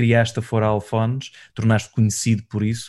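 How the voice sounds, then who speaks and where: His pitch stays in a medium range. The man moves through his words at a moderate pace. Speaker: podcast host. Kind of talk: interview.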